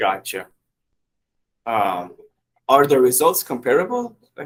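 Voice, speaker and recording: A man speaks at a fairly slow pace in a medium pitch. His intonation is lively. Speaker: podcast guest. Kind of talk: interview conversation. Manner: halting.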